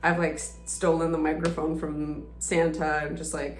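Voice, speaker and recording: Noticeable background noise and audible room echo surround a woman who speaks at a fairly slow pace. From Estonia. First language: Russian. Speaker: singer-songwriter. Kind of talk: casual Q&A self-introduction.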